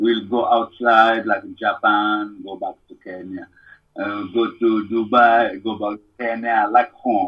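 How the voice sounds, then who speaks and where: A man with a Congolese accent, medium in pitch, in a monotone, flat intonation at a fairly slow pace, with big swings in loudness. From Democratic Republic of Congo. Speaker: musician. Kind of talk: casual interview chat. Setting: phone or video call.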